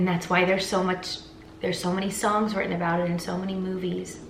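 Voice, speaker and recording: A woman speaks at a fairly quick pace in a medium pitch with monotone, flat intonation, over noticeable background noise and audible room echo. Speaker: singer and vlogger. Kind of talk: emotional vlog monologue. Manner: halting, stuttering.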